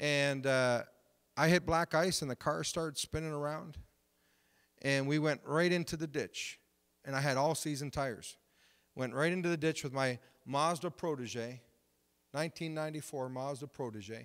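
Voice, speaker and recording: Speaking with an Ontario accent at a fairly slow pace, the voice keeps a fairly even intonation, leaves long, frequent pauses, and sits over a quiet background. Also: man, fairly high pitch for a man. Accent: Canadian (Ontario). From Canada, Windsor, Ontario; Ontario, Canada. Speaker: pastor. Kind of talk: sermon. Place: church. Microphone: handheld.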